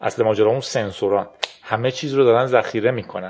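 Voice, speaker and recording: Lively intonation at a fairly quick pace against a quiet background. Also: man. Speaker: podcast host. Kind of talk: casual tech talk.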